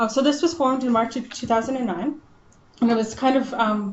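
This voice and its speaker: A woman speaks with a fairly high pitch. Some room echo can be heard. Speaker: librarian. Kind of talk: conference presentation. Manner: mumbling.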